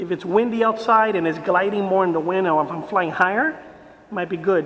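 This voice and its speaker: The speech moves at a moderate pace, with light background noise behind it. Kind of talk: casual review commentary. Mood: pleased, relaxed. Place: garage. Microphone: camera far.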